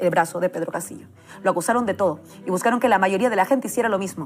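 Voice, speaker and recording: A woman with a Peruvian accent, very fast pace and lively intonation. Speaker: political commentator. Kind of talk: political speech. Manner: impassioned.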